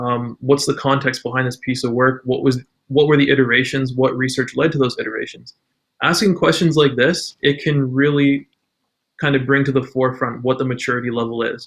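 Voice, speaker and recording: A man speaks at a medium pitch with a Canadian accent and fairly even intonation. It is an ordinary speaking voice, delivered at a fairly quick pace. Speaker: UX designer. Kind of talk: podcast interview.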